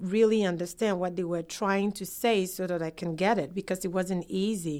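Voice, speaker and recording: A woman with a Ghanaian accent speaks with fairly even intonation on a very clean recording with a silent background. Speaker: immigrant. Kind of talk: interview testimony.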